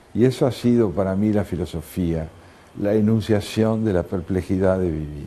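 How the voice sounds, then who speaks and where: A man's fairly low voice with a dark, mellow tone. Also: ordinary pitch variation, moderate pace. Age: 70s. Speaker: philosopher and writer. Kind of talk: TV interview. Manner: reflective, with filler hesitations.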